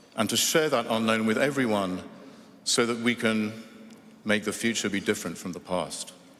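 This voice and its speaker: At a moderate pace, a man with an English accent speaks at a medium pitch. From England. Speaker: award judge and author. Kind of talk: award ceremony speech. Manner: hesitant with fillers at start.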